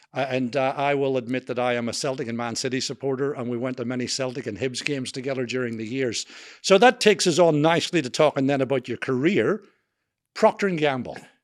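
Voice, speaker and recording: Speaking with a strong Scottish accent, a man goes at a very fast pace with a medium pitch and ordinary pitch variation. The recording is very clean, with a silent background. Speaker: podcast host. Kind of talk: interview. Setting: on camera.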